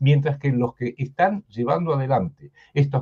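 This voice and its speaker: A man speaks at a very slow pace with lively intonation. His pitch sits fairly high. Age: 70s. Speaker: political commentator. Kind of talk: interview. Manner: halting.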